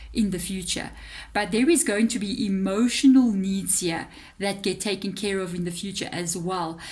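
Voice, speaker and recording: A somewhat breathy woman's voice at a fairly slow pace, with a South African accent. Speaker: tarot reader. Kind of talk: tarot reading monologue. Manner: hesitant fillers, conversational.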